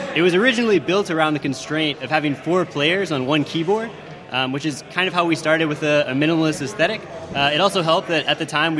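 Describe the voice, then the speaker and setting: Noticeable background noise accompanies a man who talks very fast in a fairly high voice with ordinary pitch variation. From United States. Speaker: indie game developer. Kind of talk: interview on live radio. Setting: live radio broadcast from a conference venue.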